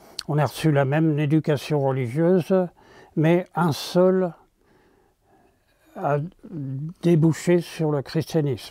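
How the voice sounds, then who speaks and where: Speaking at a very slow pace with long, frequent pauses, a man with a fairly high, dark, mellow voice keeps his intonation fairly even on a very clean recording with a silent background. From Paris region, France (Argenteuil). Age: 90s. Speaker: retired priest. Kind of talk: testimony. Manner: halting.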